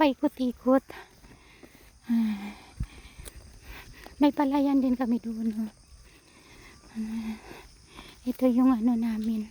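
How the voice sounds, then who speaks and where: A woman whispers at a very slow pace, leaving long, frequent pauses. Noticeable background noise can be heard. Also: dry, close sound with no echo. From Philippines. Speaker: vlogger. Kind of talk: casual vlog narration. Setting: outdoors walking in rice fields. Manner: almost whispering.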